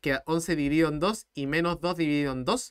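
A man is speaking. The background is quiet. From Chile. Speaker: math teacher. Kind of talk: live-streamed math tutorial. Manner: fast; animated. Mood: earnest motivational talk. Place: home room.

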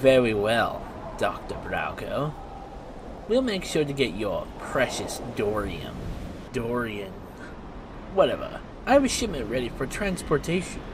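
Over loud background noise, a man talks at a fairly slow pace and medium pitch, leaving long, frequent pauses. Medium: machinima. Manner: veiled threat; smug, mocking.

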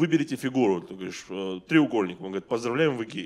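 A man speaks with lively intonation. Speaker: stand-up comedian. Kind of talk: stand-up comedy. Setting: stage with audience. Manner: animated, conversational, profanity-laced delivery with mock-outraged voices. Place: stage. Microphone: handheld.

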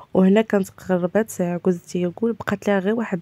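With a Moroccan accent, a woman speaks at medium pitch with fairly even intonation. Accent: Moroccan Darija. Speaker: home cooking vlogger. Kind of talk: cooking tutorial. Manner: casual, frequent hesitations.

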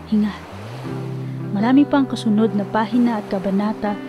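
A woman's medium-pitched voice with very wide pitch swings, music in the background. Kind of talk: spoken word poetry.

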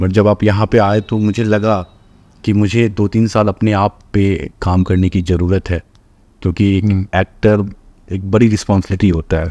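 At a moderate pace, a man speaks in a dark, mellow tone with a fairly low pitch and monotone, flat intonation. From Bihar, India (Madhubani district); Bihar. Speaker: actor and film director; actor. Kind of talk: interview. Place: studio.

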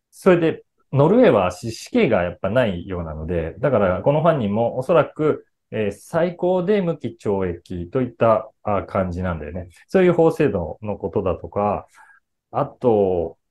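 A man's voice has a slightly mellow tone. His pitch swings widely. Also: fairly low pitch for a man, moderate pace.

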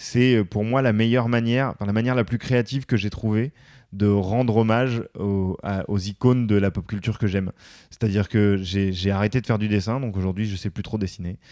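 Fairly low in pitch, a man's dark, mellow voice keeps a fairly even intonation at a fairly quick pace. The sound is dry and close with no echo, over a quiet background. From France, suburbs (banlieue). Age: 30s. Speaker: former radio host, media worker, father. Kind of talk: casual interview chat. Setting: studio. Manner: at ease on the mic; hesitant, many fillers.

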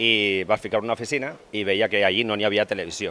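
A man talks with a fairly low pitch. His tone is bright and sharp. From Gandia, Valencia region; Valencia region. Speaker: business manager; interviewee. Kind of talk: interview. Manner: halting. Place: cafe. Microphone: handheld.

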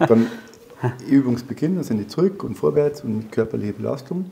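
Here a man is talking. His intonation is lively. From Bavaria, Germany. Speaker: former police officer and soldier. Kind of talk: interview answer. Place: studio. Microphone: lapel.

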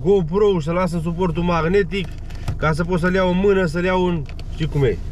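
A man talks at a moderate pace with fairly even intonation, the sound dry with no echo and a little background noise underneath. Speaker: delivery driver vlogger. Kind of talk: casual vlog chat. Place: car. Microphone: phone near.

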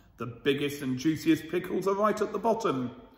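A man speaks with lively intonation, and room echo can be heard. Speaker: school storyteller reading to children. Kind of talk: bedtime story reading aloud to children, with a warm, cosy storybook tone. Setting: video recorded for children, school channel. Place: hall. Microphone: phone near.

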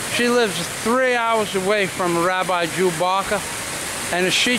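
A man at a fairly slow pace amid noticeable background noise. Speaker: vlogger narrator. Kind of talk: casual vlog talk to camera. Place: street. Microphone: phone near.

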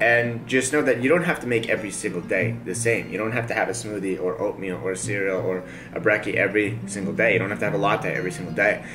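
Over faint music in the background, a man talks at a very fast pace with hardly any pauses. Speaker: vlogger. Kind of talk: casual vlog chat. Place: home room. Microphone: camera far.

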